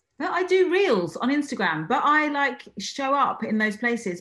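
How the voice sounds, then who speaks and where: A somewhat breathy woman with very wide pitch swings. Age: 40s. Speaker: cognitive hypnotherapist and coach. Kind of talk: interview. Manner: halting, many fillers and repetitions.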